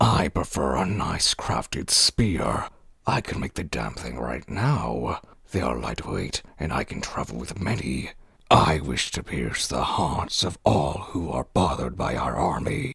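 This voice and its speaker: A raspy, very deep, low male put-on character voice at a fairly slow pace. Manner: gruff, irritable.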